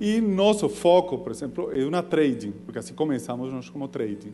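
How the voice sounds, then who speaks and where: A man's fairly high voice with lively intonation and a non-native accent, at a moderate pace, over noticeable background noise. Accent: foreign accent in Portuguese. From foreign, not Brazilian. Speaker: entrepreneur. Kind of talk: business pitch. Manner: halting.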